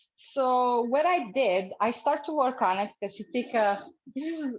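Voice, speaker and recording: A woman with an Italian accent and lively intonation, against a quiet background. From Italy. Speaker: cooking demonstrator. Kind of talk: cooking tutorial. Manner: halting, many fillers.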